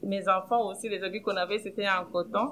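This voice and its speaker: A woman with an ordinary speaking voice talks at a medium pitch, her intonation fairly even. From Democratic Republic of the Congo. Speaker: housing cooperative director. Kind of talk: personal testimony.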